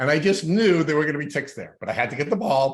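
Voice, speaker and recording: The voice belongs to a man with ordinary pitch variation. The background is quiet. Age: 60s. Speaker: podcast host. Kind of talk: interview. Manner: halting.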